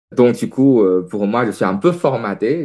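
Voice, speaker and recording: Fairly slowly and with lively intonation, a man with a non-native accent speaks at a fairly low pitch. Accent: foreign accent in French. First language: Chinese (speaking French). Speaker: naturopath. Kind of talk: interview testimony. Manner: hesitant, many fillers.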